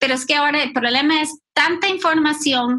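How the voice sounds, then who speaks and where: In a raised, projected voice, a woman speaks with ordinary pitch variation. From Costa Rica and US. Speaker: ministry team director. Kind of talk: casual discussion.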